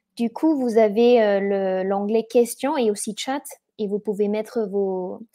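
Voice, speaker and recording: Medium in pitch for a woman, her voice moves at a fairly slow pace with fairly even intonation. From Germany. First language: German (speaking French). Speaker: event organizer and webinar host. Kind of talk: webinar presentation. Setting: online webinar. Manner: halting, many hesitations.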